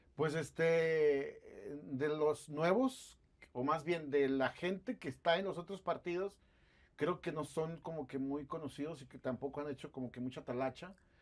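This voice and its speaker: This man speaks at a fairly slow pace in a fairly high pitch, with ordinary pitch variation. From Guadalupe, Nuevo León, Mexico; Nuevo León, Mexico. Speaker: interviewer. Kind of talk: interview. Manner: casual. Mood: relaxed, conversational. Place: studio. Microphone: lapel.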